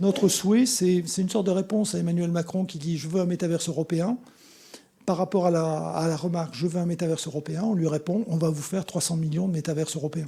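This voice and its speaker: Talking at a very fast pace, a man uses a high pitch with a dark, mellow tone and fairly even intonation. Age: 60s. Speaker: conference speaker, association representative. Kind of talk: conference talk with Q&A. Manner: halting, many fillers and repetitions.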